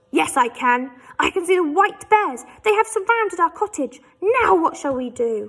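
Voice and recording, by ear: Put-on, growling character voice from a woman in an extremely high pitch at a moderate pace.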